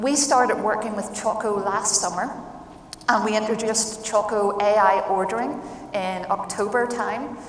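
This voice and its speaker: A woman speaks at a moderate pace in a room with audible echo and noticeable background noise. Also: fairly high pitch for a woman, fairly even intonation. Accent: Irish. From Ireland. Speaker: food distribution executive. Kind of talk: panel discussion.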